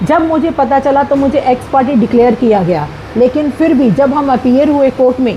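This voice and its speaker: A woman's high-pitched voice with ordinary pitch variation, over noticeable background noise. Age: 60s. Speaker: retired teacher in a property dispute. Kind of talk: statement to the media.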